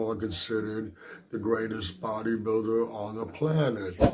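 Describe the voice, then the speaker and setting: There is audible room echo as a man talks at a moderate pace with a medium pitch. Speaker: bodybuilding commentator. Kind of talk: vlog commentary.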